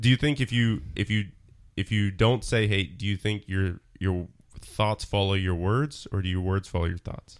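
The man's voice sits at a fairly low pitch with ordinary pitch variation. He keeps a moderate pace. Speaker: podcast co-host. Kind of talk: casual chat.

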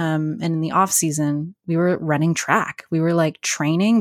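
A woman with a Canadian accent talks at a moderate pace in a fairly low pitch, a plain, everyday voice. The sound is dry and close with no echo, a very clean recording with a silent background. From Canada, northern New Brunswick (Bathurst). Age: 30s. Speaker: theatre production manager. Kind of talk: casual interview chat. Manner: laughs often, many fillers.

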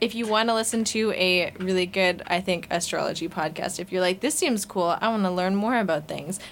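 A woman talks in a normal speaking voice at a medium pitch. Her pace is moderate and her pitch variation ordinary. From Vancouver, Canada. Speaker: student newspaper arts editor, podcast host. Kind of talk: casual chat.

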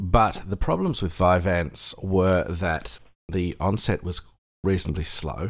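There is vocal fry in this man's voice. The recording is very clean and the background silent. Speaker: podcast host. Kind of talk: solo monologue podcast. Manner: calmer, lower pitch as medication takes effect.

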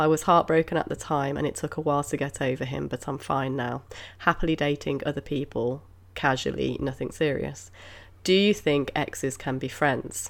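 At a moderate pace, the speaker uses vocal fry and ordinary pitch variation on a very clean recording with a silent background. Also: woman, very deep, low pitch for a woman. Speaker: podcast host. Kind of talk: casual chat.

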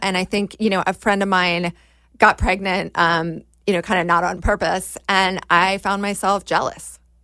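A woman's medium-pitched, flat, monotone voice with an American accent, on a very clean recording with a silent background. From Washington, D.C. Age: 40s. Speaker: screenwriter and actor. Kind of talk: casual chat.

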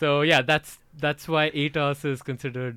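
Speaking with an Indian accent at a moderate pace, a man has a bright, sharp tone in a dry, close sound with no echo. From Odisha, east coast of India. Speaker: cricket enthusiast guest. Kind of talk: casual chat.

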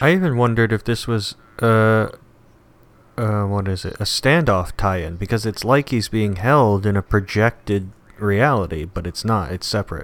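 Speaking at a moderate pace, a man with a fairly low pitch uses an ordinary speaking voice with ordinary pitch variation. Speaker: comic book podcast co-host. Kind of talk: casual banter, comic book review.

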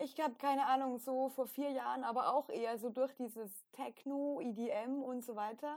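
A woman's high pitch with ordinary variation, at a moderate pace with hardly any pauses. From Austria. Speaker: podcast co-host. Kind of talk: casual chat.

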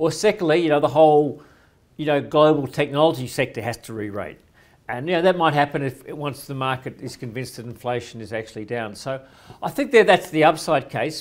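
In an Australian accent, a man speaks at a fairly high pitch with ordinary pitch variation and big swings in loudness, on a very clean recording with a silent background. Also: fairly quick pace. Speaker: financial commentator. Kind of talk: interview.

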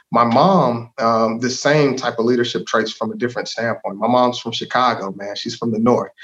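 With an American accent, a man in an unremarkable speaking voice speaks at a moderate pace and medium pitch, with fairly even intonation and hardly any pauses. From Texas, DeSoto. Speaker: local politician, former school board member. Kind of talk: interview conversation.

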